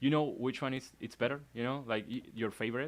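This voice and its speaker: Over a very clean recording with a silent background, a man with a Spanish accent speaks at a moderate pace. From Argentina. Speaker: illustrator and animator. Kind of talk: casual interview chat. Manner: halting, many restarts.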